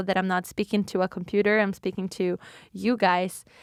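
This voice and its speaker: On a very clean recording with a silent background, a woman speaks in a flat monotone with a dry, close sound and no echo. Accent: Brazilian. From Brazil. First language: Portuguese. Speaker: podcast host. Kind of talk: casual solo podcast talk. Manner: halting, self-correcting.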